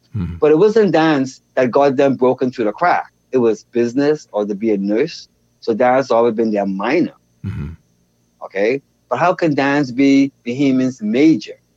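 A man speaks in a Bahamian accent at a moderate pace. His intonation is lively. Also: medium pitch for a man. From Bahamas, Nassau. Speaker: dance educator and choreographer. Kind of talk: interview conversation.

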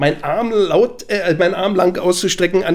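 A man's high voice with a Berlin accent and ordinary pitch variation. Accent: Berlin accent, noticeable. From Berlin (Prenzlauer Berg). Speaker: TV sports journalist. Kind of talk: casual chat.

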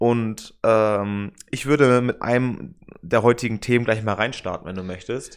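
A man with a plain, everyday voice talks at a fairly slow pace, his medium pitch held to fairly even intonation. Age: 20s. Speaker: political science student and podcast co-host. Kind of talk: casual chat.

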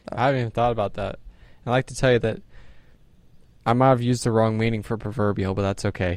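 A man's medium-pitched voice at a very fast pace, fairly even in intonation, with long, frequent pauses. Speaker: podcast co-host. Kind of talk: casual chat about faith, Bible reading.

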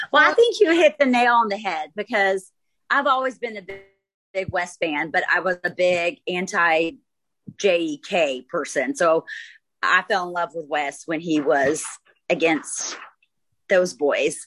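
With an American accent, a woman talks at a fairly slow pace and medium pitch, her intonation lively and her pauses long and frequent. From Dallas, Texas. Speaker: podcast host.

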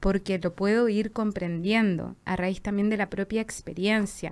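On a very clean recording with a silent background, a woman with an ordinary speaking voice talks at a fairly slow pace, with a medium pitch and ordinary pitch variation. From southern Chile, Valdivia. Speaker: visual artist and social worker. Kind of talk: casual chat.

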